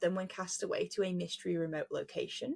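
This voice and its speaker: A woman talks with an English accent. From England. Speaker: podcast host. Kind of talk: casual chat.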